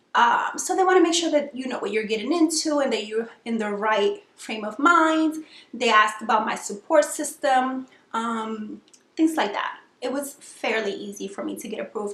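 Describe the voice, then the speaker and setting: Lively intonation with big swings in loudness at a moderate pace. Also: woman, high pitch for a woman. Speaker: vlogger sharing weight loss surgery experience. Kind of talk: casual vlog tutorial. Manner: hesitant fillers, frequent um.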